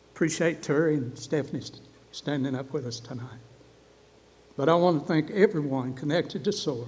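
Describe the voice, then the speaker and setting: A man with an Appalachian accent, somewhat breathy, at a fairly quick pace with ordinary pitch variation. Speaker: award recipient, coffee shop owner. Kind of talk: award acceptance speech.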